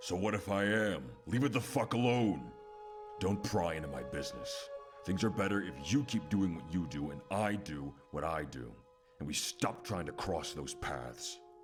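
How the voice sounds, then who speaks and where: Clear music plays behind a man doing a put-on character voice. His pitch is very deep and low, and his pace is moderate. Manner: angry, irritated.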